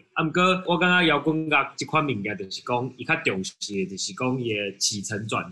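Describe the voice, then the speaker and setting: A man with a bright, sharp tone speaks at a medium pitch and a moderate pace, his intonation lively. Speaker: rock band member. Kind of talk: interview. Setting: video call.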